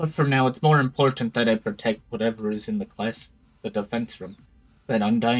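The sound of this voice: Unforced reading voice, nothing more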